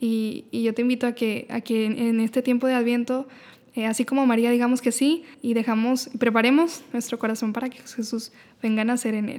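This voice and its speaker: At a moderate pace, a woman with a high pitch speaks in a monotone, flat intonation. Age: 20s. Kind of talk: casual chat.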